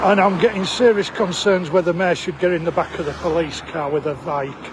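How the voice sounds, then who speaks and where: Against noticeable background noise, a man speaks at a fairly quick pace in a high pitch with ordinary pitch variation. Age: 60s. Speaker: travel vlogger. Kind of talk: vlog. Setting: outdoors.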